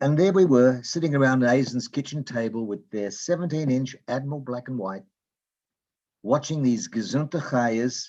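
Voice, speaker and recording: Against a quiet background, a man with an Australian accent talks at a moderate pace and a medium pitch. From Australia, Melbourne. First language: Yiddish. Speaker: open mic participant. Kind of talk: reading a personal memoir piece.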